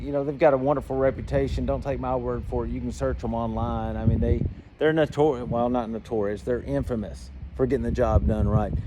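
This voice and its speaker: In a Georgia accent, a man speaks in an animated tone. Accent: Georgia Southern. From Georgia, US South. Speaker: flight instructor and aircraft dealer. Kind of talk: tutorial. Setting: aircraft hangar. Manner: casual, animated.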